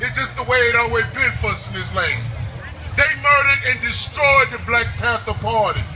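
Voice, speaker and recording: This man speaks at a moderate pace. Behind him, background noise is noticeable. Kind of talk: spoken word poetry performance.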